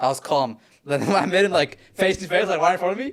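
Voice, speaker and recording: Ordinary pitch variation from a man with an Australian accent. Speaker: fitness content creator. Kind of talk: casual chat. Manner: fast.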